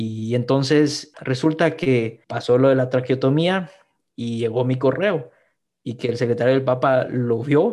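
A man's normal speaking voice, medium in pitch, with ordinary pitch variation and a fairly slow pace. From Guatemala. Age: 20s. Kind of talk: podcast interview, personal testimony.

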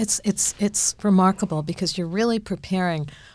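This woman's voice sits fairly low and sounds somewhat breathy, with ordinary pitch variation. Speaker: podcast moderator and university administrator. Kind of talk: interview.

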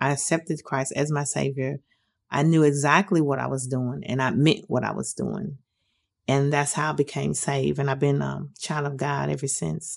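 A woman with an American accent speaks at a moderate pace, her pitch very deep and low. The background is quiet. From US Midwest (Detroit, Michigan). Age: 50s. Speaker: formerly homeless woman sharing her story. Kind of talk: personal testimony. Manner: hesitant, frequent um fillers.

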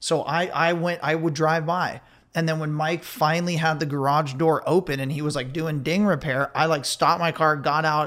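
A man with an American accent and a normal speaking voice, fairly high in pitch, fairly even in intonation, at a moderate pace, on a very clean recording with a silent background. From Ventura, California. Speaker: beverage company co-founder, former surf filmmaker. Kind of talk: interview.

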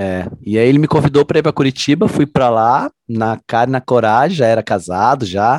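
There are hardly any pauses as a man with an unremarkable speaking voice and medium pitch talks at a fairly quick pace with ordinary pitch variation, in a dry, close sound with no echo. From Londrina, Paraná, Brazil. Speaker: group fitness instructor. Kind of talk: casual chat.

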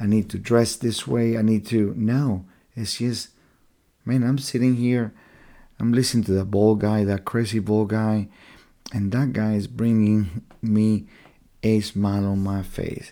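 Very clean recording with a silent background, a soft-spoken voice in a dark, mellow tone, a fairly slow pace, long and frequent pauses, and fairly even intonation. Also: man, fairly low pitch for a man. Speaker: missionary and podcast host. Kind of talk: faith-based monologue podcast.

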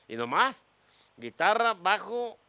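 This man's voice has a bright, sharp tone. He sounds animated, with lively intonation. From Mexico, Guadalajara (Jalisco). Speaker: comedian. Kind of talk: casual chat.

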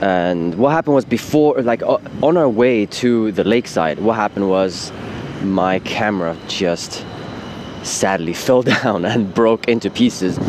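With lively intonation and very even loudness, a man with a fairly low pitch talks at a fairly slow pace against noticeable background noise. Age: 20s. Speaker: podcaster and video maker. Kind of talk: casual monologue. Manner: informal, filler-heavy.

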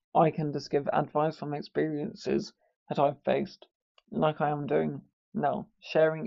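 A man talks at a fairly high pitch with vocal fry. His pitch moves little, and his pace is fairly slow.

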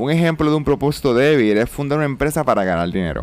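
Very fast and with very wide pitch swings, a man talks at medium pitch. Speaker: business mentor and podcast host. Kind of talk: solo podcast monologue.

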